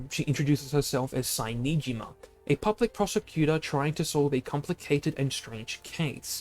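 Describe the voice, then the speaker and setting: Music sits in the background while a man with a fairly high pitch speaks at a fairly quick pace, the sound dry and close with no echo. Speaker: video game streamer. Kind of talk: reading aloud. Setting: live stream. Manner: halting.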